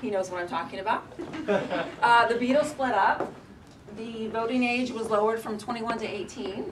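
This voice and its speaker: With an American accent, a woman talks at a moderate pace in a fairly high pitch with ordinary pitch variation, against noticeable background noise. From Oklahoma, US. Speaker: storyteller / performer; storyteller. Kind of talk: storytelling performance. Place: shop. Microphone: camera far.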